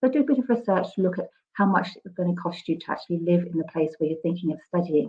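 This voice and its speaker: A woman speaks at a very fast pace and a fairly low pitch. Her voice is somewhat breathy, with ordinary pitch variation. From southern England, Brighton. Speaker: university admissions speaker. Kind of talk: presentation.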